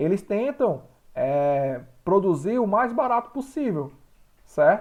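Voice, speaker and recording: With a quiet background, a man talks at a fairly slow pace using very wide pitch swings. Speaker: school teacher. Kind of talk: online class lecture.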